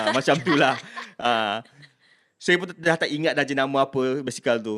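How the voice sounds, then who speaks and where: This man has a fairly high pitch and a bright, sharp tone. He talks at a moderate pace with ordinary pitch variation. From Malaysia, Kuala Kangsar, Perak. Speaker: university staff member. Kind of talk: casual interview, personal story.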